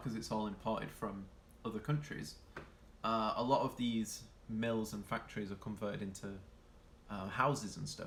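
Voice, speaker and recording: A man with a Yorkshire accent at a fairly low pitch and moderate pace. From northern England, Yorkshire. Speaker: streamer. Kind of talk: casual live-stream chat reading viewer comments. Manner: hesitant, many fillers.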